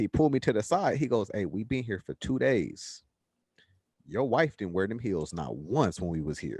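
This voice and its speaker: Over a quiet background, a man with a medium pitch and vocal fry talks at a fairly quick pace, his pitch swinging very widely in a dry, close sound with no echo. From Los Angeles (Watts). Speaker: podcast co-host. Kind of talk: casual chat.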